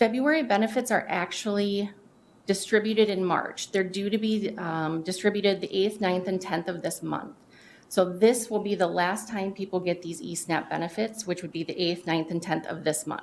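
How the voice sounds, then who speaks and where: Medium pitch and ordinary pitch variation from a woman. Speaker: county staff presenter. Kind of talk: public meeting presentation. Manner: fast.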